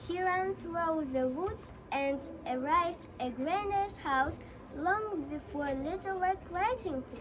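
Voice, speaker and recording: Over clear background noise, someone does a put-on character voice at an extremely high pitch and a fairly slow pace. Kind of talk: bedtime story. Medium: stage play.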